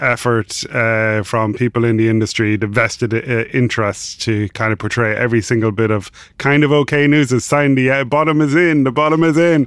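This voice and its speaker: A man with an Irish accent talks at a moderate pace, his medium pitch varying in an ordinary way. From Ireland. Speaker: financial journalist. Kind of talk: casual chat.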